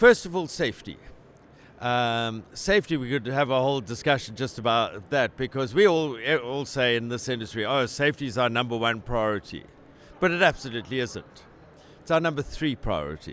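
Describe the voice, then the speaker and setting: At a fairly quick pace, a man talks with a South African accent. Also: medium pitch for a man, lively intonation. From South Africa, Cape Town. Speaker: company president. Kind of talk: interview. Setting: trade conference. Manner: animated.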